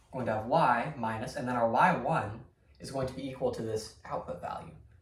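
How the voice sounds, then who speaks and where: A man of medium pitch speaks at a fairly quick pace, with audible room echo around him. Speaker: math teacher. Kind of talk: lecture. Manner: fast; casual, filler words.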